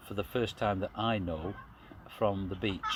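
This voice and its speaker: Against noticeable background noise, a man with a fairly low pitch speaks in a monotone, flat intonation. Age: 60s. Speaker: UFO experiencer. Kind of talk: interview. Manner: halting.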